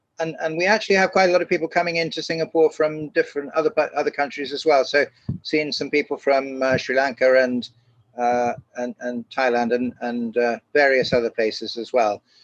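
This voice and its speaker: With a British accent, a man speaks at a fairly high pitch with ordinary pitch variation, and the sound is dry and close with no echo. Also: fairly quick pace. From England. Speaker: educational psychologist. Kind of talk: webinar presentation. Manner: hesitant, many fillers.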